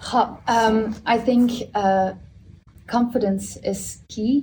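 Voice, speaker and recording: A woman with a Dutch accent speaks very slowly in a fairly high, somewhat breathy voice. Her tone is dark and mellow, and her intonation stays flat and monotone. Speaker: stylist. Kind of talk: panel discussion. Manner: halting, many fillers.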